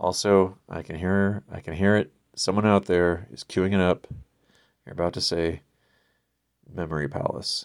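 The speaker is quiet, with big swings in loudness and fairly even intonation. Long pauses come often. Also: man, very deep, low pitch for a man, moderate pace, very clean recording, silent background. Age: 50s. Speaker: solo podcast host. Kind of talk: casual monologue. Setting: recording alone late at night. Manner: quiet, low volume.

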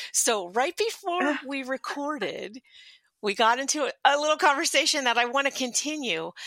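Projecting a raised voice, a woman speaks high and bright with a sharp tone and lively intonation at a moderate pace, in a dry, close sound with no echo. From Philadelphia. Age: 50s. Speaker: podcast host. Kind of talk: casual interview chat.

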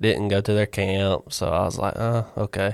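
Spoken with fairly even intonation in a Southern US accent, the voice comes through on a very clean recording with a silent background. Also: man. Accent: Southern US (Georgia). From Georgia, US South. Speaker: former student athlete, baseball catcher. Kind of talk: interview.

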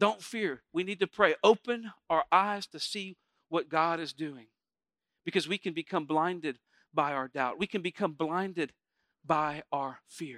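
A man's high-pitched voice with a bright, sharp tone, ordinary pitch variation, and a dry, close sound free of echo. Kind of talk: sermon to a live congregation. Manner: animated call-and-response preacher, urging the crowd to say amen; warm, conversational, stops and restarts mid-sentence.

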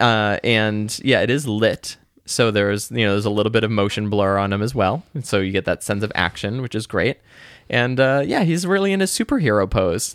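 At a moderate pace, a man uses a plain, everyday voice with medium pitch and ordinary pitch variation. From Boston. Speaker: podcast co-host. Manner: casual, conversational.

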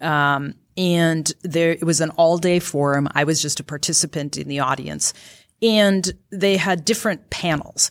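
A woman's fairly low voice with an Upper Midwest accent and ordinary pitch variation, in a very clean recording with a silent background. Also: fairly slow pace. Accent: Upper Midwest (Minnesota). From rural Minnesota. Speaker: county attorney, former public defender. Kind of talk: interview before live audience. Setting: stage with live audience.

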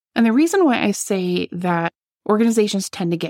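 Recorded dry and close with no echo, a woman with a plain, everyday voice speaks at a medium pitch and moderate pace with ordinary pitch variation. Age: 50s. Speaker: podcast host and membership consultant. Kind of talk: solo podcast monologue.

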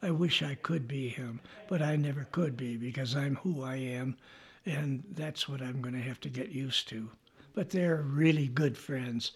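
This man's fairly high, somewhat breathy voice moves at a moderate pace with ordinary pitch variation. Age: 80s+. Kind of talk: personal testimony.

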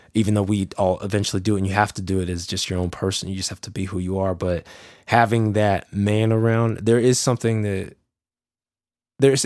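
This man talks in a normal speaking voice, fairly low in pitch, with fairly even intonation at a fairly quick pace, on a very clean recording with a silent background. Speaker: podcast guest. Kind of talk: casual conversation.

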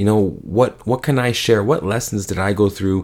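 A man talks in a normal speaking voice at a fairly low pitch, recorded very cleanly against a silent background. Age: 20s. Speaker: podcast host. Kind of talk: solo podcast monologue. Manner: casual, filler-heavy.

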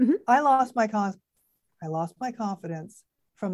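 A woman's plain, everyday voice with ordinary pitch variation at a moderate pace. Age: 60s. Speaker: actress and video coach. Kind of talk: casual chat.

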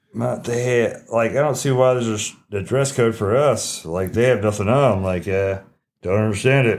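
A man with an American accent talks at a moderate pace in a medium pitch with ordinary pitch variation. It is an ordinary speaking voice. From Texas. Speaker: podcast co-host. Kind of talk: casual chat.

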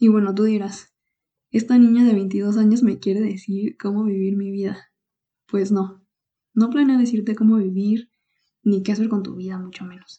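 A woman speaks at a moderate pace in a somewhat breathy, dark, mellow tone at a medium pitch. Her intonation is monotone and flat, her loudness swings widely, and she leaves long, frequent pauses. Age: 20s. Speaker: podcast host and economics student. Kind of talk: solo podcast monologue.

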